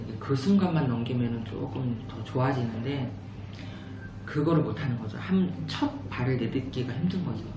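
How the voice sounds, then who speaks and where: Amid music in the background and audible room echo, a man talks at a medium pitch with ordinary pitch variation. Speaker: book youtuber, real estate agent. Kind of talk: book review talk. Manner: slow.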